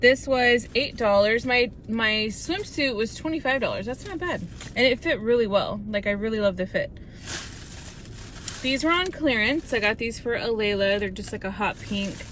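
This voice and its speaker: Over noticeable background noise, a woman with a fairly high pitch speaks at a moderate pace using lively intonation. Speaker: hairstylist and lifestyle vlogger. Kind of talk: casual vlog haul. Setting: in a car in a parking lot. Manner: quiet, hushed.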